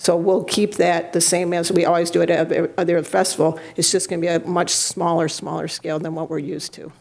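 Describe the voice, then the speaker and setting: A woman with a fairly low pitch, very fast pace, hardly any pauses and monotone, flat intonation. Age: 60s. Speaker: cannabis event organizer. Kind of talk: public comment at city council meeting.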